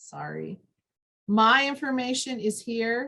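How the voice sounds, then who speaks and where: Here is a woman with an ordinary speaking voice. Her pitch is fairly high, with ordinary pitch variation. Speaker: extension educator and dietitian. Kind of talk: training presentation.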